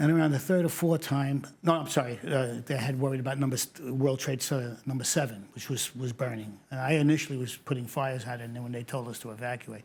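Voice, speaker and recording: With a New York accent, a man talks at a very fast pace with hardly any pauses. His medium-pitched voice keeps fairly even intonation but shows big swings in loudness. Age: 70s. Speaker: retired fire captain. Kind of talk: interview testimony.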